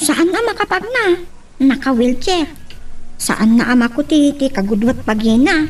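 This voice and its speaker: Over light background noise, a woman performs a put-on character voice, high in pitch with very wide pitch swings, at a fairly slow pace. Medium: audio drama. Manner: warm, jovial.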